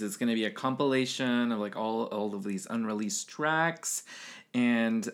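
Here is a plain, everyday voice from a man. He talks at medium pitch and a moderate pace. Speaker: podcast host. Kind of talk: casual chat.

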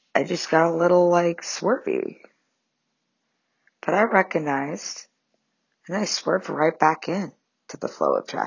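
With vocal fry and lively intonation, a woman speaks at a moderate pace in a fairly low pitch. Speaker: podcast host. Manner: rambling, profane, tangential.

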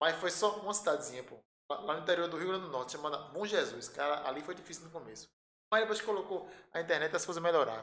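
The speech runs at a very fast pace with ordinary pitch variation and big swings in loudness. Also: man, high pitch for a man. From Pernambuco, Brazil (Recife area). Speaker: electrical engineer, transmission lines. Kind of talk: casual chat.

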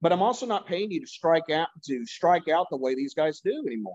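A normal speaking voice talks at a fairly quick pace with lively intonation. The sound is dry and close, with no echo. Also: man. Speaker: sports podcast co-host. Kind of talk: profanity-laced sports rant. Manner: angry, profane and fired-up; mocking, sarcastic impressions of players.

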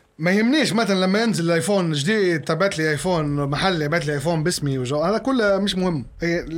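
Over noticeable background noise and audible room echo, a man with a high pitch talks at a fairly quick pace with hardly any pauses, very even loudness and ordinary pitch variation. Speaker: singer. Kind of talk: casual chat.

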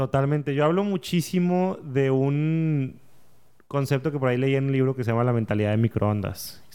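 A man speaks at a fairly high pitch in a dark, mellow tone, his loudness very even throughout. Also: ordinary pitch variation, moderate pace. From northern Mexico, Saltillo. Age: 30s. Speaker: entrepreneur and podcaster. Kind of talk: casual interview. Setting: podcast studio.

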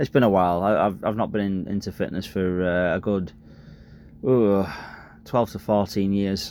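A man's fairly low voice, fairly even in intonation, at a moderate pace with long, frequent pauses. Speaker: podcaster; truck driver. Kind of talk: casual solo podcast monologue. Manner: halting, filler-heavy, self-conscious.

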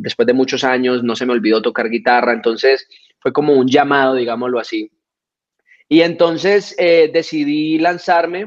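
The delivery moves at a moderate pace with ordinary pitch variation. It is an ordinary speaking voice. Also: man, fairly high pitch for a man. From Colombia (Florencia, Caquetá). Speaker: reggaeton singer. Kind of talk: interview.

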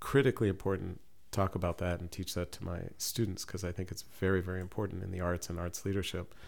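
A man with a very deep, low pitch on a very clean recording with a silent background. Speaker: professor and poet. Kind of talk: interview chat. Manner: soft-spoken.

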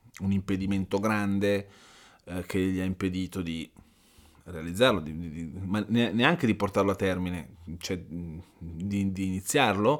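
On a very clean recording with a silent background, a man with a very deep, low pitch speaks at a fairly slow pace, leaving long, frequent pauses. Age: 50s. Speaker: life coach and podcast host. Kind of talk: motivational monologue. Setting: home recording. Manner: casual, hesitant with fillers.

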